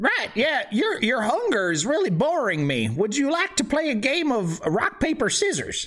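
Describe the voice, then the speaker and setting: A man uses a put-on character voice at an extremely high pitch with very wide pitch swings. His pace is moderate and his loudness very even. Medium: actual play. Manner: dry, blunt.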